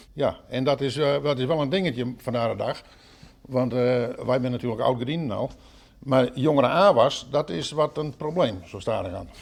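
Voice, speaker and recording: The man has an unremarkable speaking voice, with a fairly high pitch and ordinary pitch variation. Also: moderate pace. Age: 60s. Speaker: museum volunteer, former ship engineer. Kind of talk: interview.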